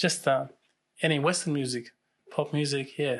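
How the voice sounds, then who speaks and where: A man speaks with a Russian accent in a fairly high pitch and a bright, sharp tone. His intonation is monotone and flat, and the background is quiet. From Russia and Turkey. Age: 30s. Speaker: real estate agent. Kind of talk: interview.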